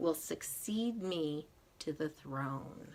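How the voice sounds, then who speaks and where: A put-on character voice at a middle pitch. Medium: read story.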